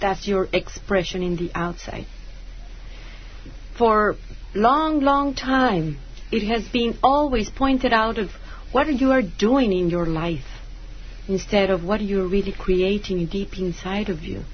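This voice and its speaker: Somewhat breathy, a woman speaks at a fairly slow pace with lively intonation and long, frequent pauses, and audible room echo surrounds her. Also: medium pitch for a woman. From Mexico. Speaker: spiritual teacher and author. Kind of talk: radio interview. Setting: radio studio.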